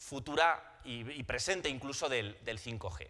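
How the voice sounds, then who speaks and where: A man speaks with a Spanish accent at a fairly slow pace. His tone is bright and sharp, and his intonation is lively. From Spain. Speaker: telecom consultant, conference presenter. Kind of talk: conference presentation. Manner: halting, with frequent repetitions and fillers.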